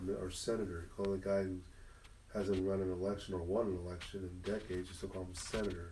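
A man speaks very fast in a very deep, low voice with an American accent, his tone dark and mellow and somewhat breathy. His intonation stays monotone and flat, with audible room echo around him. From Southern California, Inland Empire. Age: 50s. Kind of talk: casual interview conversation. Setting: parish, in-person with small audience.

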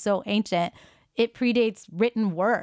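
A woman with an ordinary speaking voice talks at a fairly high pitch with lively intonation. The very clean recording has a silent background and a dry, close sound with no echo. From US, Indian American. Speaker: podcast co-host, yoga teacher. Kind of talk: casual conversational podcast.

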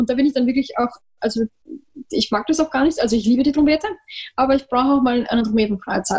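A woman's high-pitched voice at a very fast pace. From Austria. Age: 20s. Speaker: trumpeter. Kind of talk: interview.

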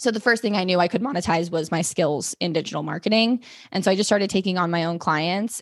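A woman talks in a plain, everyday voice at medium pitch with ordinary pitch variation. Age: 20s. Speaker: podcaster and digital marketer. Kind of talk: casual chat.

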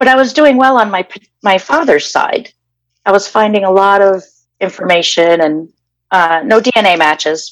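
This is a normal speaking voice with an American accent. It moves at a moderate pace with lively intonation. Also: woman, medium pitch for a woman. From Massachusetts (Danvers). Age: 50s. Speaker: interviewee sharing personal story. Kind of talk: personal testimony interview.

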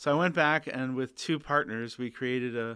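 A plain, everyday voice from a man at medium pitch, with ordinary pitch variation and a moderate pace, on a very clean recording with a silent background. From northern Canada. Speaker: designer. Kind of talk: interview. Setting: in person.

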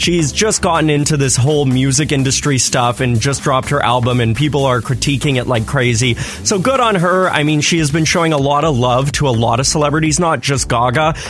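With music in the background, a man speaks in an upbeat tone at a fairly high pitch. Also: ordinary pitch variation, fairly quick pace, hardly any pauses. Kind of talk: radio co-host banter, quick back-and-forth chat on a morning show. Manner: upbeat, chatty, good-humoured, laughing along.

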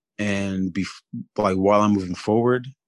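In a quiet background, a man with a normal speaking voice and a fairly low pitch talks at a moderate pace. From US, moved from Ivory Coast at age three. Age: 20s. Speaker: police brutality survivor. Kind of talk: testimony.

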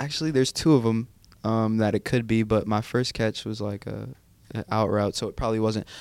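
A man's plain, everyday voice at a medium pitch, fairly quick in pace, with fairly even intonation. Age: 20s. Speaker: college student and former football player. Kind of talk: casual chat.

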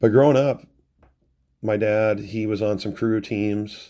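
A man speaks with a Pacific Northwest accent. His fairly low voice has a dark, mellow tone. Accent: Pacific Northwest American. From US Pacific Northwest (Renton, near Seattle). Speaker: podcast host, schoolteacher, hydroplane fan. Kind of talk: casual solo podcast monologue.

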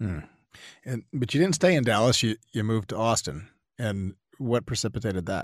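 With an ordinary speaking voice, a man talks at a moderate pace with lively intonation, recorded dry and close with no echo against a quiet background. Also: medium pitch for a man. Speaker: podcast host. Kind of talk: casual interview.

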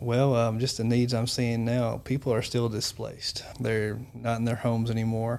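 A man speaks at a moderate pace and medium pitch in a monotone, flat intonation, with hardly any pauses and very even loudness. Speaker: mobile crisis responder. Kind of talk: interview. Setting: studio. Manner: soft-spoken.

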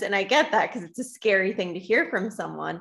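In a very clean recording with a silent background, a woman speaks at a fairly quick pace with vocal fry. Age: 30s. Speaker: therapist, doctoral student. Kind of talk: casual interview chat. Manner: hesitant, many fillers.

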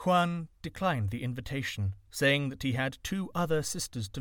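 This is an unforced reading voice. It carries the text as written.

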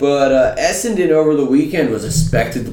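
A man talks at a moderate speed with ordinary pitch variation. Noticeable noise can be heard in the background. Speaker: podcast co-host. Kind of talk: casual chat. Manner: loud; animated.

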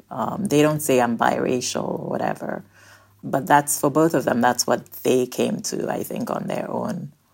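At a moderate pace, a woman with a very deep, low pitch talks with lively intonation and vocal fry. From Nigeria. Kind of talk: interview conversation.

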